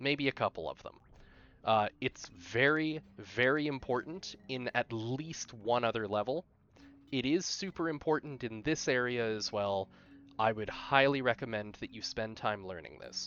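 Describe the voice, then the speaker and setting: In a Canadian accent, a man uses a normal speaking voice at medium pitch, with ordinary pitch variation and a moderate pace. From Canada. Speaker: speedrunner. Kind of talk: tutorial. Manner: unscripted, casual with fillers.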